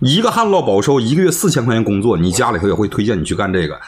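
A man with a Northeastern Chinese accent talks at a very fast pace, sounding somewhat breathy. His pitch swings very widely over light background noise. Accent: Northeastern Mandarin. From Northeast China. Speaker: livestreamer. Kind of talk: heated debate. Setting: video call. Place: home room.

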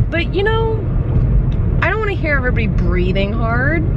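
A woman at a moderate pace, dry sound with no echo, loud background noise. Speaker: vlogger. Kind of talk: casual vlog chat. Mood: annoyed ranting. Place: car. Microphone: phone near.

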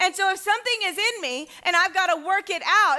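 A woman's raised, projected voice, bright and sharp in tone, at a fairly quick pace with ordinary pitch variation, over a quiet background. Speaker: pastor. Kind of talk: sermon. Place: church.

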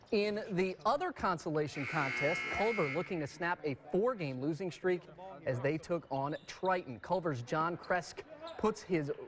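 Noticeable background noise runs behind a man speaking at a moderate pace. His intonation is lively. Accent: American. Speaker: sports reporter. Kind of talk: sports highlights commentary. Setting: studio. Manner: upbeat, playful.

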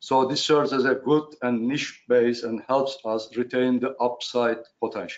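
Speaking with a Turkish accent and hardly any pauses, a man keeps a medium pitch and a monotone, flat intonation. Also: moderate pace. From Turkey. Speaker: shipowner. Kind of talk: panel presentation. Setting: video call. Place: office. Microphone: headset.

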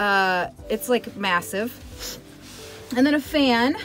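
With music playing in the background, a woman speaks in a fairly high pitch with lively intonation. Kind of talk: casual trailer tour to camera.

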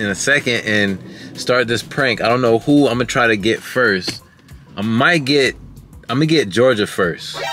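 Faint music plays in the background while a man speaks in a dry sound with no echo. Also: ordinary pitch variation, moderate pace. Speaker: family vlogger. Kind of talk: casual vlog chat. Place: car. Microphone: phone near.

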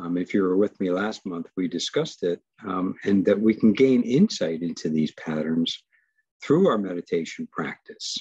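A man's normal speaking voice, fairly low in pitch with ordinary pitch variation, dry and close with no echo. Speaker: mindfulness teacher. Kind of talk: guided meditation and webinar teaching. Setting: video call webinar. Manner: calm, slow, soothing guided-meditation delivery.

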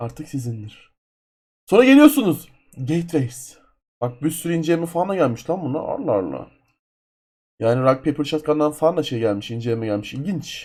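A fairly high, somewhat breathy male voice with lively intonation and long, frequent pauses. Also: moderate pace. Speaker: gaming YouTuber. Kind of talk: screen-capture tutorial. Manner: casual, loose.

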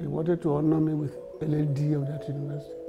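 A man talks at a fairly quick pace over clear background music. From Nigeria. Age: 80s+. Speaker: senior advocate, university founder; interviewee, elder lawyer. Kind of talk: interview answer. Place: office.

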